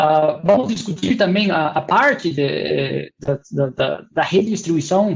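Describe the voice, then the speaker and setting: With vocal fry and lively intonation, a man speaks at a fairly slow pace in a fairly high pitch, leaving hardly any pauses. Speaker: university researcher, webinar presenter. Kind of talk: technical webinar lecture. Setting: online webinar. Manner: hesitant, many fillers.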